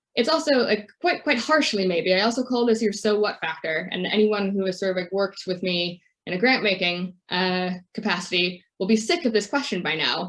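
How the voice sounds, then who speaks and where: Moderate pace and medium pitch from a woman, a normal speaking voice with ordinary pitch variation. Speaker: charity impact measurement lead. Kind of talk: webinar presentation.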